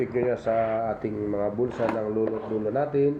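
Medium pitch from a man with ordinary variation, amid audible room echo and noticeable background noise. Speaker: vlogger and old coin collector. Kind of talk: casual show-and-tell tutorial vlog.

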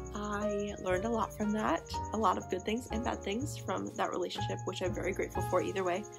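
Someone with an American accent speaks at a fairly quick pace while clear music plays in the background. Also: woman. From Missouri. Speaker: vlogger. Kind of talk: casual talk to camera. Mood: reflective, soft, personal. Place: home room. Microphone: phone near.

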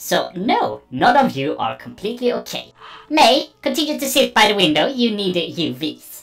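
The speaker puts on a character voice. The pace is moderate. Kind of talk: formal synthetic speech. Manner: precise, deadpan.

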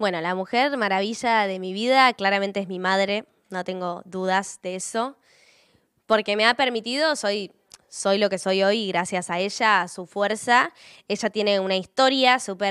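Over a quiet background, someone talks fairly slowly, the pitch moving in an ordinary way. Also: woman. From Patagonia, Argentina (Puerto Madryn); Patagonia, Argentina. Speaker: singer-songwriter. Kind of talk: interview answers. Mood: warm, heartfelt. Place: studio. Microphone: handheld.

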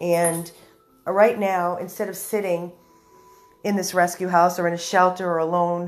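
Over music in the background, a woman speaks at a fairly slow pace in a fairly low pitch. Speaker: dog rescue volunteer. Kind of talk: casual live video update.

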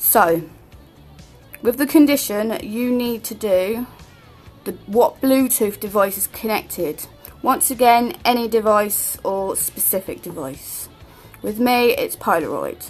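A woman at a fairly high pitch, fairly slow in pace, with lively intonation, big swings in loudness, long, frequent pauses and music in the background. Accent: British. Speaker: tutorial maker. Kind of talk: screen-recorded tech tutorial. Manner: casual, hesitant with fillers.

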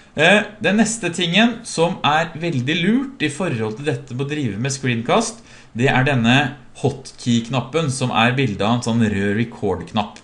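A man's speech swings very widely in pitch and moves at a fairly slow pace. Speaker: software trainer. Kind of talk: tutorial.

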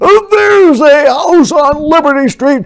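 Shouting and bellowing in a put-on character voice, a man speaks slowly at an extremely high pitch with lively intonation.

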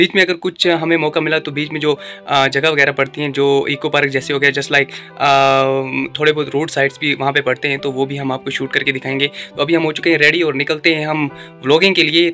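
Faint music sits in the background while a man talks at a very fast pace. His intonation is monotone and flat. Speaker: vlogger. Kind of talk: casual vlog chat. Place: home room. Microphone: phone near.

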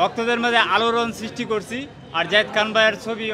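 A man speaks in a raised, projected voice. There is noticeable background noise. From Bangladesh, Kishoreganj; Bangladesh. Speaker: fan at a court rally. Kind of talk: street interview. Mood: earnest, defensive of idol. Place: street. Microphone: handheld.

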